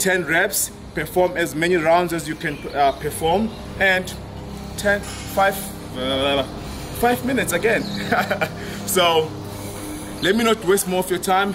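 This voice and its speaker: Music plays in the background as the speaker moves at a very slow pace with long, frequent pauses and ordinary pitch variation. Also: man, high pitch for a man. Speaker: fitness coach. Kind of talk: workout intro explanation. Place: gym.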